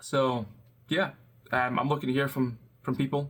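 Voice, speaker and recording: At a moderate pace, a man with a Scottish accent talks at a medium pitch. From Scotland. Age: 20s. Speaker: web developer. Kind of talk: casual vlog talk. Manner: hesitant, many fillers.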